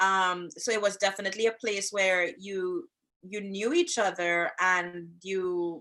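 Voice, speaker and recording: At a fairly slow pace, a woman in a Trinidadian accent speaks at a medium pitch with a bright, sharp tone and monotone, flat intonation. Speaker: podcast co-host, social worker and relationship coach. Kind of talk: casual chat.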